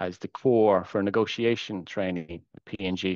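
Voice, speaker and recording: A man with an Irish accent speaks at a fairly low pitch with fairly even intonation, the sound dry and close with no echo against a quiet background. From Ireland, border area near Dundalk. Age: 40s. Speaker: supply chain expert. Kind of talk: podcast interview.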